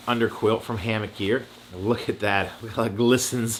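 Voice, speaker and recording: The man's delivery moves along fairly quickly. His tone comes across bright and sharp. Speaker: hiking vlogger. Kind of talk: gear tutorial, casual vlog. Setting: at home. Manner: fast.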